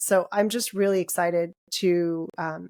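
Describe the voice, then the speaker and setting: Recorded dry and close with no echo in a very clean setting with a silent background, an unremarkable speaking voice talks in an American accent. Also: woman. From United States. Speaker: podcast co-host and dentist. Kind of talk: casual podcast conversation.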